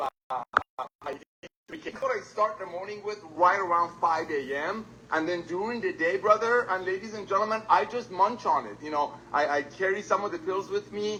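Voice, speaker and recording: In a raised, projected voice, a man speaks at a high pitch and a moderate pace, with ordinary pitch variation and big swings in loudness. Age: 60s. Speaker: company co-founder. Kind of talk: business presentation webinar. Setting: video call.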